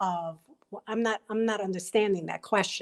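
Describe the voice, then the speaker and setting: A woman talks with a New York accent. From Brooklyn, New York. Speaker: panelist. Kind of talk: panel discussion.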